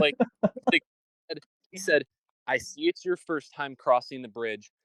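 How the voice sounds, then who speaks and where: A bright, sharp tone with a Michigan accent, lively intonation and big swings in loudness, in a dry, close sound with no echo. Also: man, fairly high pitch for a man. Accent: Michigan nasal. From Michigan, US. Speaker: podcast host. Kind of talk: casual chat. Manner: animated.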